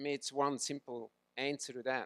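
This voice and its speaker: This man, with a Swiss accent and medium pitch, talks at a fairly slow pace in a dry, close sound with no echo. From Switzerland. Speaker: swimming coach. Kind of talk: talk to audience.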